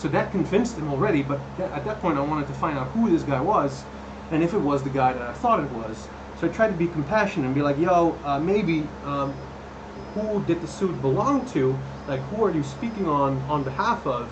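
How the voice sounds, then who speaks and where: Noticeable background noise and audible room echo surround a man. He talks at a fairly quick pace with a fairly high pitch and lively intonation. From Netherlands. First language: Dutch. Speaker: cosplay prop maker and streamer. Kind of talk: live stream chat. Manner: casual, many fillers and restarts.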